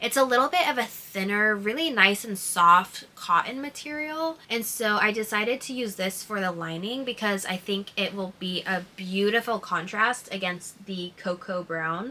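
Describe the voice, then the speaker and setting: With noticeable background noise behind it, the voice moves at a moderate pace with lively intonation. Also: woman, medium pitch for a woman. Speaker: hobby sewist vlogger. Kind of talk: casual vlog narration. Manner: casual, filler-heavy (like, um).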